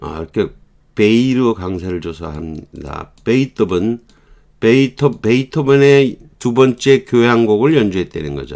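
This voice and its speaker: A man talks at a medium pitch and a fairly slow pace. His voice shows very wide pitch swings and big swings in loudness. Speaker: English teacher. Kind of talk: lecture. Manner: halting.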